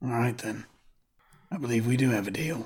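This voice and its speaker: In a raspy, put-on character voice of medium pitch, a man speaks at a fairly quick pace with ordinary pitch variation. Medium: actual play. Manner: dry, laconic.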